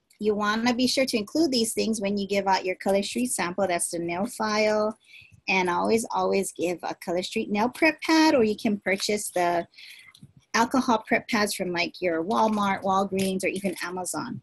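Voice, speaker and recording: A woman talks at a moderate pace with a somewhat breathy voice and lively intonation. The sound is dry, with no echo. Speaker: direct sales consultant. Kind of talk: tutorial. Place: home room. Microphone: webcam.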